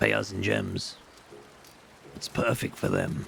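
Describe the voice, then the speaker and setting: This is a raspy, put-on character voice. Clear background noise runs underneath. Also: man. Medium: game stream. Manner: quick, profane, persuasive.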